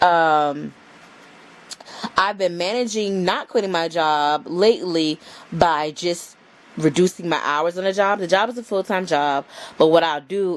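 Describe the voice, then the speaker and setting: Her pitch fairly low, a woman talks with ordinary pitch variation. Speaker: lifestyle vlogger and photographer. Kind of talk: casual vlog chat. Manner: slow.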